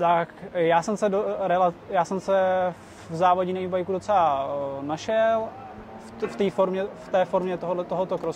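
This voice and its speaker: Noticeable background noise sits behind this man's voice. He speaks at a moderate pace, high in pitch, with ordinary pitch variation. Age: 20s. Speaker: e-bike racer. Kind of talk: interview. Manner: halting.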